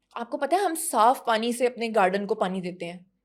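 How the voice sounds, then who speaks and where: A woman's fairly high voice with lively intonation and an animated tone, on a very clean recording with a silent background. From Punjab, Pakistan. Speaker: actress and model. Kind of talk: casual interview chat.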